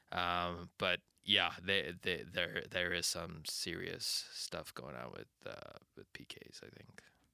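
Whispering, a man speaks at a very slow pace with hardly any pauses. His loudness swings widely. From Indian heritage. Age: 20s. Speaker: podcast co-host. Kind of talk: casual chat. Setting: studio. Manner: animated.

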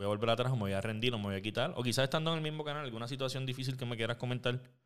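A man speaks with a Puerto Rican accent. His pitch is medium, with ordinary pitch variation. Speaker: podcast host. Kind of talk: casual chat. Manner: animated.

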